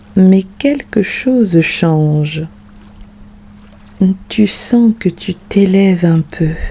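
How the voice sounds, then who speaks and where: Very slow speech with long, frequent pauses comes through noticeable background noise. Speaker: meditation guide. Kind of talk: guided sleep meditation.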